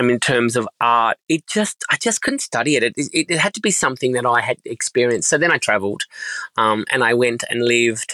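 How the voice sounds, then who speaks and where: A man's bright, sharp voice at a fairly quick pace, ordinary pitch variation, in a dry, close sound with no echo. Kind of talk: casual interview chat. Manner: halting, many fillers and repeats.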